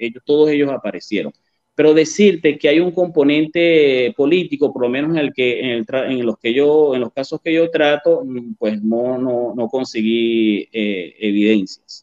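At a fairly slow pace, a man talks in a fairly high voice with ordinary pitch variation. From Venezuela, Barquisimeto. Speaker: journalist and author. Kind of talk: interview. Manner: halting, many fillers.

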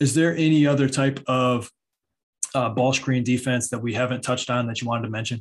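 A man with an American accent talks at a fairly quick pace. His intonation is monotone and flat. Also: medium pitch for a man. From Michigan. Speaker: podcast host and basketball trainer. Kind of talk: podcast interview.

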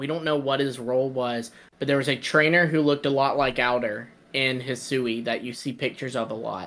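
Fairly high in pitch, this man has a plain, everyday voice. He talks at a fairly quick pace with ordinary pitch variation. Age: 20s. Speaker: podcast co-host. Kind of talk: casual chat.

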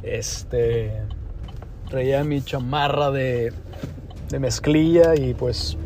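A man at a very slow pace with long, frequent pauses, over noticeable background noise. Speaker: podcast host and cattle auction professional. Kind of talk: pep talk: fired-up motivational exhortation on discipline, ownership and getting back up. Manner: earnest, emphatic, coach-like and urging, with punchy repeated phrases.

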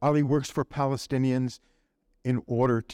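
A man's normal speaking voice at a medium pitch and fairly slow pace, dry and close with no echo. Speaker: supporter of the guest's work, making closing announcement. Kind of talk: closing announcement.

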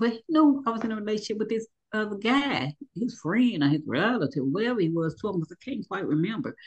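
A woman talks at a fairly quick pace with hardly any pauses. Her voice is somewhat breathy, with very wide pitch swings. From Louisville, Kentucky. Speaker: abuse survivor, poet and motivational speaker. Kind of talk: testimony.

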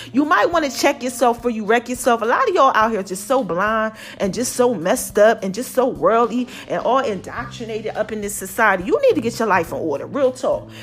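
A woman talks at a fairly quick pace with hardly any pauses, her pitch fairly high and her intonation lively. Her tone is animated, with noticeable background noise behind her. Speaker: podcast host. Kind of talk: motivational monologue.

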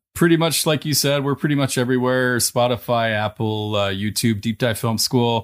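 A man with a plain, everyday voice speaks at a moderate pace with hardly any pauses, medium pitch and ordinary pitch variation. The sound is dry and close with no echo, in a very clean recording with a silent background. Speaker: film podcaster guest. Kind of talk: casual chat.

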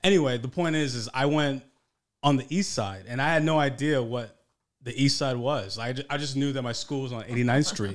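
A man speaks in a plain, everyday voice at medium pitch and a fairly quick pace, his pitch varying in an ordinary way, on a very clean recording with a silent background. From New York City. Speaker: podcast co-panelist. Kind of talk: casual chat.

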